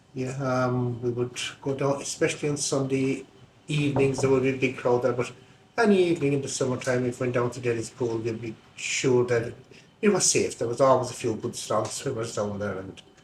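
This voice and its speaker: With a Kerry accent, a man speaks at a moderate pace in a medium pitch, sounding somewhat breathy. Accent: Irish, Kerry. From Ireland, County Kerry. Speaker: local interviewee recalling village life. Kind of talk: oral history interview.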